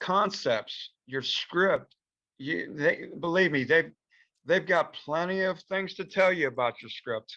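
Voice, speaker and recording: Over a quiet background, a man raises and projects his voice at a high pitch, his bright, sharp tone and lively intonation coming at a very slow pace. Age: 60s. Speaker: film director. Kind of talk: casual advice talk in virtual meeting. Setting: video call. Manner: hesitant, many fillers.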